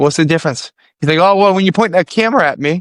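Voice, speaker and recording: A man in a Boston accent at a fairly quick pace, with ordinary pitch variation, on a very clean recording with a silent background and a dry, close sound with no echo. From Boston area, US. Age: 40s. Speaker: video content creator. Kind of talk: podcast interview. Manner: repetitive, stammering restarts.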